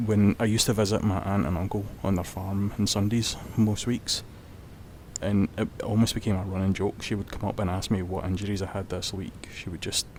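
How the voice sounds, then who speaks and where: A man with a Scottish accent, fairly low-pitched, flat and monotone, at a fairly quick pace. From Scotland. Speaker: vlogger. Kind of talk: personal testimony. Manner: halting.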